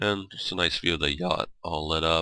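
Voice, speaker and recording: With vocal fry and a very deep, low pitch, a man speaks at a moderate pace. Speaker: gaming video creator. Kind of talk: gameplay tour commentary. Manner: casual, rambling with fillers.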